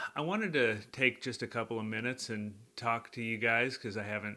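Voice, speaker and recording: A man speaks at a medium pitch and a fairly quick pace, his tone bright, sharp and relaxed, his intonation fairly even, on a very clean recording with a silent background. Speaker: country songwriter and singer. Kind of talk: casual vlog update to viewers. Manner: relaxed, conversational with fillers and repeats.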